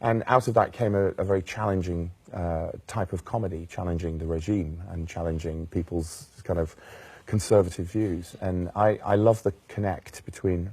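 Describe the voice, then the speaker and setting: A man with a Welsh accent, very deep and low in pitch, dark and mellow, somewhat breathy, at a moderate pace with fairly even intonation, on a very clean recording with a silent background. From Wales. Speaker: jazz singer. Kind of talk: interview. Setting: studio.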